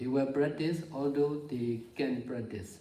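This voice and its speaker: Somewhat breathy and dark, mellow in tone, the voice moves at a fairly slow pace with audible room echo. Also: man. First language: Burmese. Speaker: meditation teacher. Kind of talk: dharma talk. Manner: halting.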